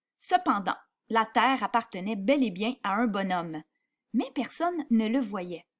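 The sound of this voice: An unforced reading voice is heard. Behind it, the background is quiet.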